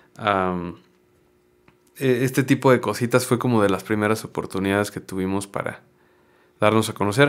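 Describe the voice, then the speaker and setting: Against a quiet background, a man with a fairly low voice talks at a moderate pace with ordinary pitch variation, leaving long, frequent pauses. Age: 30s. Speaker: actor, voice actor and former band singer; actor, voice actor. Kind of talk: interview conversation. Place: studio. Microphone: studio mic.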